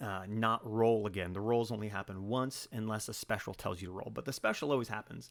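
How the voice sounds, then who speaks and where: A man with a fairly low pitch talks in fairly even intonation, with hardly any pauses. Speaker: gaming youtuber. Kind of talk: tutorial. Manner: halting.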